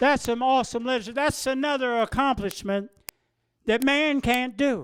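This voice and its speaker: On a very clean recording with a silent background, a man with an American accent sounds animated, his pitch extremely high with ordinary pitch variation. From Ohio, rural. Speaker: recovering alcoholic speaker. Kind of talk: recovery meeting talk.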